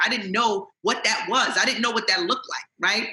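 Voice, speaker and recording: Speaking with a New York accent, a woman uses a fairly high pitch. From Jamaica, Queens, New York. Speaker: author and motivational speaker. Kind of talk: interview answer. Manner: casual, streetwise.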